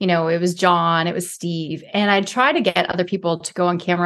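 The delivery is very fast and monotone, with flat intonation, in a Canadian accent. The recording is very clean, with a silent background. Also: woman. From Canada, inner city Toronto. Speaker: author and former TV reporter. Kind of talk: interview.

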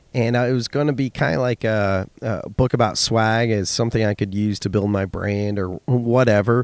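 A man speaks at a medium pitch and a moderate pace with hardly any pauses. The recording is very clean with a silent background and a dry, close sound with no echo. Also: fairly even intonation. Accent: Californian. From US West Coast (Silicon Valley, California). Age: 30s. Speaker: podcast host and business owner. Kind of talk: solo podcast monologue.

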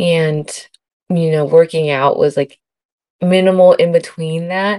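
Very slow and monotone, the voice has a dark, mellow tone and a dry, close sound with no echo. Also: woman. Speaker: sonographer and podcast co-host. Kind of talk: casual chat.

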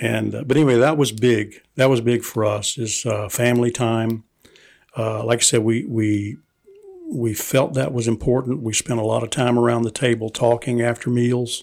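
A man with an American accent talks at a moderate pace and medium pitch. His intonation is monotone and flat. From US South, Fredericksburg, Virginia. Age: 60s. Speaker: host's father. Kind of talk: casual interview. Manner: halting.

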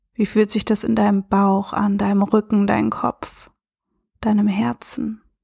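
A woman speaks at a medium pitch and a fairly slow pace, her tone dark, mellow, calm and soothing, somewhat breathy, with ordinary pitch variation and very even loudness. The recording is very clean with a silent background and a dry, close sound with no echo. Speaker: self-love and relationship coach; podcast host. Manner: slow, calm and soothing with long pauses, gentle and warm; reflective, conversational, with filler words.

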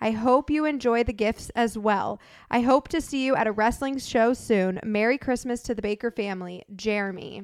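A woman speaks in an ordinary speaking voice with an American accent, fairly high in pitch with ordinary pitch variation. She talks at a moderate pace with hardly any pauses, and the sound is dry and close with no echo. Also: very clean recording, silent background. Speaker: podcast co-host. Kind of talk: casual chat.

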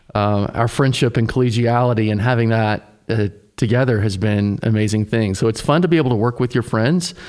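Here a man with an American accent uses an unremarkable speaking voice, fairly low in pitch with ordinary pitch variation. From US South, Tennessee. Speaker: pastor, podcast co-host. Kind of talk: casual chat.

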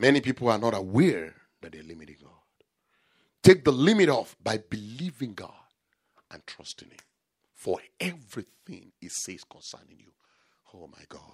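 Animated in tone, a man speaks at a moderate pace with very wide pitch swings, big swings in loudness and long, frequent pauses. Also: medium pitch for a man. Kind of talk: sermon. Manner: emphatic, repeating key phrases for effect.

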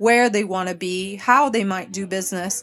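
A woman with a Quebec accent talks at a medium pitch, with ordinary pitch variation. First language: French. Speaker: interior designer and firm owner. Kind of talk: casual interview. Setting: live event party.

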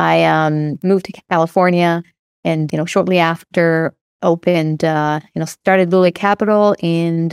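A woman talks at a moderate pace with an Israeli accent and fairly even intonation. The very clean recording has a silent background and a dry, close sound with no echo. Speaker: real estate investor and company founder. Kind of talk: casual interview.

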